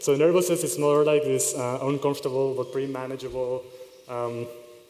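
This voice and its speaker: Audible echo from the room, plus noticeable background noise. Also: man. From Israel. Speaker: conference speaker. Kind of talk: conference talk. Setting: stage with audience. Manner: fast.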